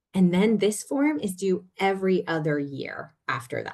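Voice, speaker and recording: The intonation here is lively. The speaker is a woman. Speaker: nonprofit legal presenter. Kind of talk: webinar presentation. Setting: video call. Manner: fast.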